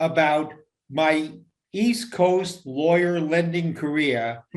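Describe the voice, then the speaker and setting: A man talks at a very slow pace with fairly high pitch and ordinary pitch variation. Audible echo from the room surrounds his voice. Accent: New York. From New York City, Queens. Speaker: radio talk show host. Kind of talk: casual chat.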